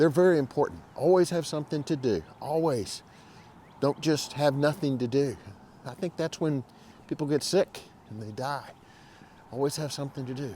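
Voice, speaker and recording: At a moderate pace, a man with a fairly high pitch and a dark, mellow tone speaks with lively intonation. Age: 70s. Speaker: video host. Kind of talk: casual chat. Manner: conversational, with hesitations.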